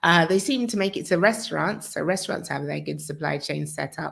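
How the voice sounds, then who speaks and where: This is a woman speaking. Her voice has vocal fry. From UK. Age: 40s. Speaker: channel host, relocation coach. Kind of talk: live-stream talk answering viewer questions. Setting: live stream. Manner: casual with frequent fillers.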